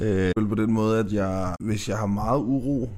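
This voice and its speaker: Audible room echo surrounds speech delivered at a fairly slow pace with fairly even intonation. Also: man. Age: 30s. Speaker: podcast guest. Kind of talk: casual chat. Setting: studio. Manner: halting, many fillers.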